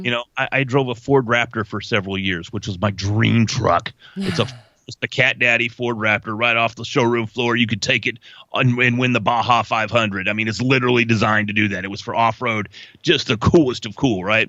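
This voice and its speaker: This man talks at a fairly quick pace with a Texas accent. His pitch sits in the medium range, and his intonation stays fairly even. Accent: Texas twang. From North Texas. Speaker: voice over artist. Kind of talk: interview answer. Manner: casual, chatty.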